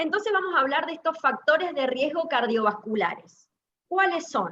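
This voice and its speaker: A woman talks with a bright, sharp tone. Her pitch swings very widely. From Argentina, Mendoza. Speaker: cardiologist. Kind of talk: lecture. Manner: fast.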